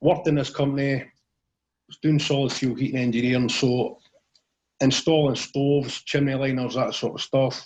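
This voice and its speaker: With a central Scottish accent, a man of medium pitch talks at a fairly quick pace with fairly even intonation. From central Scotland, Clackmannanshire. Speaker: motivational safety speaker. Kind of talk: interview, personal story.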